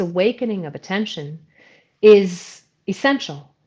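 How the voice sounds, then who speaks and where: A woman with a normal speaking voice talks in an American accent at a medium pitch with lively intonation, over a quiet background. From New York. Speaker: movement facilitator and ceremonialist. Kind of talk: interview.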